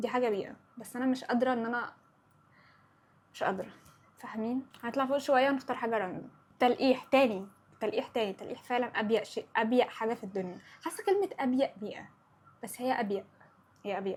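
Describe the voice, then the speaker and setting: A woman with an Upper Egyptian accent speaks fairly quickly in a high, animated voice with ordinary pitch variation and long, frequent pauses. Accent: Upper Egyptian (Sa'idi) dialect. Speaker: podcast host. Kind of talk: casual chat.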